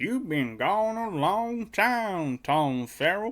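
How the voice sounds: In a put-on character voice with an Appalachian accent, a speaker talks at a very slow pace and middle pitch, in a very clean recording with a silent background.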